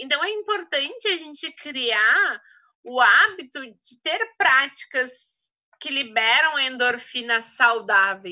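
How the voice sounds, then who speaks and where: Against a quiet background, a woman with a high pitch talks very slowly in a raised, projected voice, her bright, sharp tone showing very wide pitch swings and big swings in loudness. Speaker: essential oils trainer. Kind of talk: online training talk.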